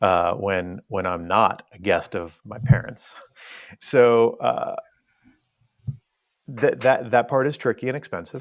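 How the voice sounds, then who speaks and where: With long, frequent pauses, a man at a medium pitch shows ordinary pitch variation and big swings in loudness. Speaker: cruise website founder. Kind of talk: podcast interview. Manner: fast.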